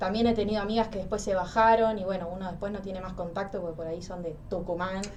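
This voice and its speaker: A woman's medium-pitched, monotone voice, very fast and flat, with hardly any pauses. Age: 20s. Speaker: psychology student. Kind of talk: interview.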